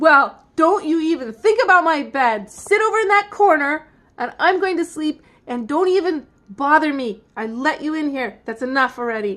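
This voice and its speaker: Using a put-on character voice, a woman speaks at a moderate pace with high pitch. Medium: read story. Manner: whiny, petulant.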